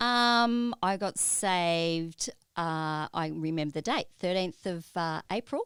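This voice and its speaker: With an Australian accent, the speaker talks at a very slow pace with lively intonation, on a very clean recording with a silent background. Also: woman, fairly low pitch for a woman. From Australia, Melbourne. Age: 60s. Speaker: church member, pastoral carer. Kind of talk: interview.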